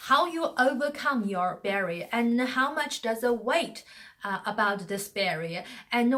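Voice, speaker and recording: A woman with a non-native accent speaks at a fairly slow pace. Her pitch is fairly high and her intonation lively. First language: not English. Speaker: communication coach. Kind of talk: motivational talk. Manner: hesitant, many fillers.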